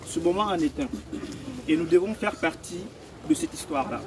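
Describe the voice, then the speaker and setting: A high-pitched man at a moderate pace, lively in intonation, with noticeable background noise. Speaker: political activist. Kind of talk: rally speech. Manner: impassioned.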